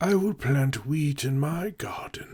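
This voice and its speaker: The speaker uses a put-on character voice. Delivery is fairly slow. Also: man. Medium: read story.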